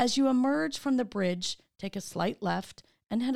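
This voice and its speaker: With lively intonation, a woman speaks at a moderate pace in an ordinary speaking voice. The recording is very clean, with a silent background. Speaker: tour guide and chamber of commerce CEO. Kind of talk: scripted audio walking tour narration. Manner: warm, polished, and clearly paced; formal and upbeat.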